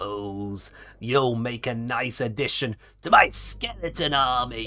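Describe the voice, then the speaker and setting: A put-on character voice, raspy, strained and guttural, moves at a fairly slow pace with ordinary pitch variation. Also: man, medium pitch for a man. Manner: menacing, villainous.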